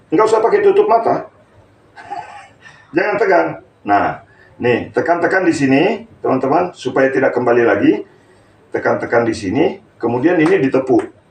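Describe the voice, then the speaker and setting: Speaking at a fairly quick pace, a man takes long, frequent pauses over noticeable background noise. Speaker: stroke therapist. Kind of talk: live-streamed therapy tutorial. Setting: live stream during a hands-on therapy session.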